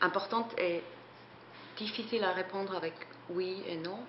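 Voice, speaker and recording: A woman with a non-native accent speaks at a medium pitch and a fairly slow pace, with fairly even intonation. The recording has audible room echo and noticeable background noise. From Switzerland. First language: not French (speaking French). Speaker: photographer and artist. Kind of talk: interview. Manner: hesitant, many fillers.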